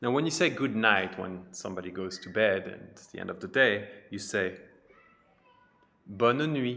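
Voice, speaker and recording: In a French accent, a man speaks with a bright, sharp tone at a fairly low pitch, leaving long, frequent pauses. Room echo is audible. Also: ordinary pitch variation, moderate pace, big swings in loudness. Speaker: French teacher. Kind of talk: tutorial.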